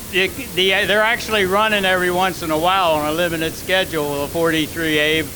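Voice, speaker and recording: Amid noticeable background noise and audible room echo, a man talks at a very fast pace and high pitch, with very even loudness and fairly even intonation. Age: 80s+. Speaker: retired race car owner. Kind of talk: acceptance speech. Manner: halting.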